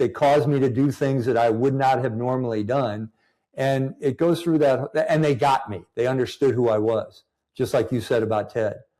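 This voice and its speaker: A man with a Midwestern US accent speaks at a medium pitch and moderate pace, his dark, mellow tone carrying fairly even intonation in a very clean recording with a silent background. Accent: US Midwest. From Missouri, US. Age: 70s. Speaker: retired army general and MBA instructor. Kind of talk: interview conversation.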